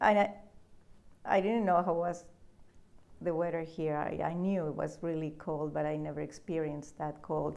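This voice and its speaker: A woman with a Spanish accent speaks at a moderate pace in a fairly low, dark, mellow voice. Her intonation stays fairly even, and the room echo is audible. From Peru, Lima. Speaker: immigrant business owner. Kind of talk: interview. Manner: halting, with repetitions.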